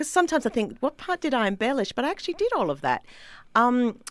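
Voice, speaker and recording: Her pitch swinging very widely, a woman speaks with an Australian accent. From Australia, Sydney. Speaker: comedian. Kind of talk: casual chat.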